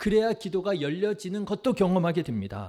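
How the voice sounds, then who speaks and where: A man's high-pitched voice with a dark, mellow tone, ordinary pitch variation and a fairly quick pace. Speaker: pastor. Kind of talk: sermon. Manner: earnest, exhortative.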